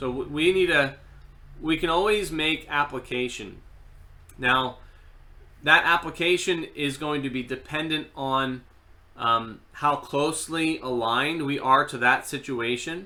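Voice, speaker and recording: A plain, everyday voice: a man at a fairly high pitch, fairly slow pace and ordinary pitch variation. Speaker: seminary lecturer. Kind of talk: online class lecture. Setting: online live video class. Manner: conversational, filler words.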